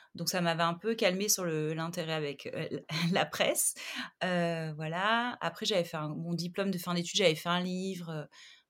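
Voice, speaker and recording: On a very clean recording with a silent background, a woman speaks at a very slow pace, her fairly low pitch held to fairly even intonation. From southern France, Montpellier. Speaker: art director and magazine founder. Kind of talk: interview conversation. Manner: hesitant, many fillers.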